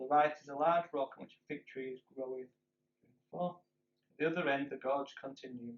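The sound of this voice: The background stays quiet as an unforced reading voice comes through.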